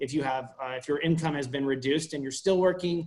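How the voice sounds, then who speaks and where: Speaking at a very fast pace, a man uses a fairly high pitch and fairly even intonation. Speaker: staff attorney. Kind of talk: presentation to a virtual town hall. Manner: halting, many fillers and restarts.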